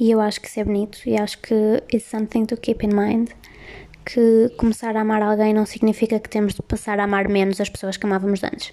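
Speaking at a fairly quick pace with a European Portuguese accent, a woman holds a fairly high pitch in monotone, flat intonation. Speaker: podcast host. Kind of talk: casual chat. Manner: soothing.

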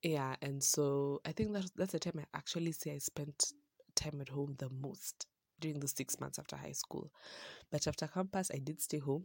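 Recorded with a dry, close sound and no echo, a woman speaks in a very deep, low voice with fairly even intonation. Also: moderate pace. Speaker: podcast host. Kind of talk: personal monologue. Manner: casual, rambling with fillers.

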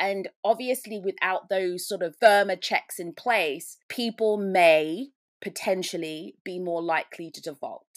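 A woman with a British accent speaks at a fairly slow pace and medium pitch, with ordinary pitch variation. The recording is very clean, with a silent background and a dry, close sound with no echo. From UK. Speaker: risk advisor. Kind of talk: interview.

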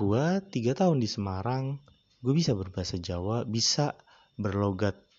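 A man talks at a moderate pace in a fairly low pitch that varies in an ordinary way. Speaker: podcast host. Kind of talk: casual solo monologue. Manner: rambling, frequent fillers.

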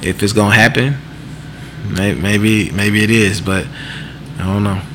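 Against noticeable background noise and audible room echo, a man speaks in a fairly low voice. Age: 30s. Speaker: podcast co-host. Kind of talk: casual chat.

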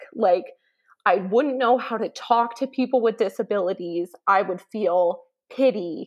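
Speaking fairly slowly with a Canadian accent, a woman has a normal speaking voice, fairly high pitch and ordinary pitch variation. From Canada. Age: 20s. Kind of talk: interview.

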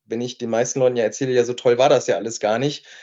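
This man has a normal speaking voice at a medium pitch. He talks at a fairly quick pace. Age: 30s. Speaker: entrepreneur and nutrition scientist. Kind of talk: casual chat.

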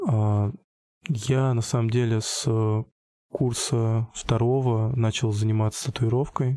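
A man talks at a very slow pace with a dark, mellow tone. His loudness is very even, and his intonation is fairly even. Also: medium pitch for a man. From Russia, Tambov region (Michurinsk). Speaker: street artist. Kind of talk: interview. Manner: halting.

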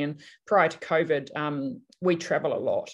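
Against a quiet background, a woman with a New Zealand accent talks in a fairly low voice. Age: 50s. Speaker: counselor and article writer. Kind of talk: casual interview chat. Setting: remote call during lockdown.

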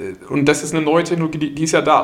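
A man speaks over noticeable background noise. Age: 30s. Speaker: company managing director. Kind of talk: podcast interview.

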